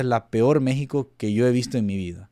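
A man talks at a moderate pace with ordinary pitch variation. Behind him the background is quiet. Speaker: football YouTuber. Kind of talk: casual commentary to camera. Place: home room.

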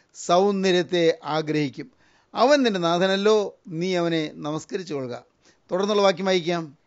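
Over a quiet background, a man with a high pitch speaks with ordinary pitch variation. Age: old. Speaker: preacher. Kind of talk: sermon.

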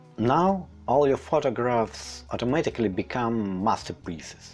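Over faint music in the background, a man of medium pitch with a non-native accent speaks at a fairly slow pace. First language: not English. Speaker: landscape photographer. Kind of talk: read-from-script tutorial narration. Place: home room. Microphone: lapel.

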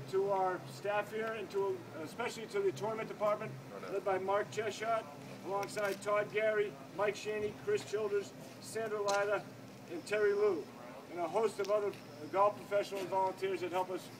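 With noticeable background noise behind him, a man talks at a fairly quick pace in a high pitch with fairly even intonation. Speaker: golf club host. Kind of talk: awards announcement. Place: street. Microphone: camera far.

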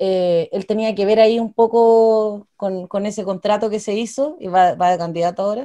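In a Chilean accent, a woman speaks at a moderate pace with hardly any pauses and fairly even intonation. Her tone is dark and mellow against a quiet background. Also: medium pitch for a woman. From Chile, Cauquenes (Maule region); Maule, Chile. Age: 20s. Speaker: political candidate and law student; candidate. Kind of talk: interview. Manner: hesitant, with frequent repetitions and fillers. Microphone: earbuds.

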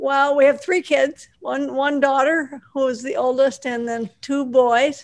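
The background is quiet. Delivery comes at a fairly slow pace with fairly even intonation. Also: woman, high pitch for a woman. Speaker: guest's wife; guest. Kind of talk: casual chat. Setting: video call. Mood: warm, friendly. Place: home room. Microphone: video call.

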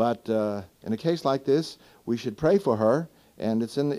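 A fairly quick male voice with a dark, mellow tone. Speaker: Bible class teacher. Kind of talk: question and answer sermon talk. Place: hall. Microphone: old recording.

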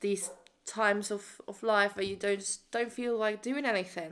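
A woman with a bright, sharp tone at a moderate pace against a quiet background. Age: 20s. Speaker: estate agent. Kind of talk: casual vlog talk to camera. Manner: chatty, rambling. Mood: calm, candid, reflective. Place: home room. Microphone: phone near.

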